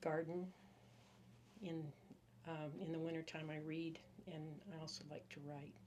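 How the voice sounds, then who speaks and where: Audible room echo surrounds a woman with a very deep, low pitch who speaks at a moderate pace with fairly even intonation and long, frequent pauses. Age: 70s. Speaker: patient. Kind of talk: interview. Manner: brief answers.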